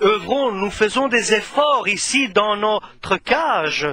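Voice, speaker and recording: A man talks in a raised, projected voice with lively intonation. His pace is very slow, over noticeable background noise. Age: 60s. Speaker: preacher. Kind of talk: sermon. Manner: halting.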